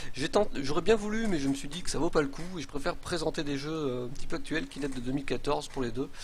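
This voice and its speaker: Very fast speech from a man at a fairly high pitch, with ordinary pitch variation and audible room echo. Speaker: game streamer. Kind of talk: live stream commentary. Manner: hesitant.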